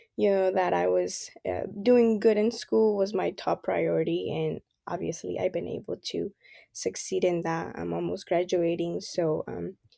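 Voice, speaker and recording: With a Spanish accent, a woman talks at a fairly slow pace. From El Salvador, then California from age 13. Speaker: university student. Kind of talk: casual interview. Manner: hesitant, many fillers.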